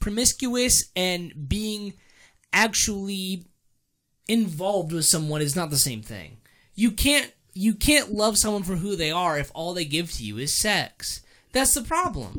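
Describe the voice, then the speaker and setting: A man with an American accent uses a raised, projected voice, high in pitch, with a bright, sharp tone and lively intonation at a fairly slow pace. The recording is very clean, with a silent background. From Maryland, near DC. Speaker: teacher. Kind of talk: casual chat.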